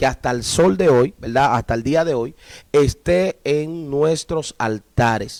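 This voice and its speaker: His intonation is lively and his pitch fairly high. The man speaks at a very slow pace. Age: 40s. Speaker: pastor. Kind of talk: live stream Bible teaching dialogue.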